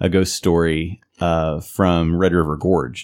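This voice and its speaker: The speaker is a man with a very deep, low pitch. He talks with an Appalachian accent. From Eastern Kentucky. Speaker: podcast co-host. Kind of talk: casual chat. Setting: studio.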